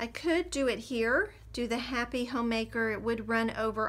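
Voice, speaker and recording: A woman speaks in a plain, everyday voice, fairly high-pitched, with ordinary pitch variation. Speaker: craft tutorial creator. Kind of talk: tutorial.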